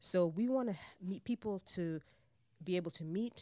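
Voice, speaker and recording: Fairly low-pitched female voice with a dark, mellow tone, lively intonation and a moderate pace. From Jamaica, raised in New York City. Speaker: missions director, former missionary. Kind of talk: interview conversation.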